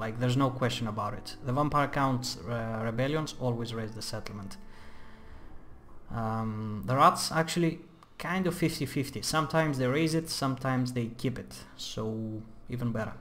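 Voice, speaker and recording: A man's medium-pitched voice at a moderate pace, with ordinary pitch variation and audible room echo. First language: not English. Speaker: gaming youtuber. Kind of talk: gameplay tutorial commentary. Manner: casual, with many fillers.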